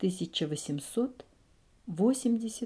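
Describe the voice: The clip is plain reading aloud. Its intonation stays lively.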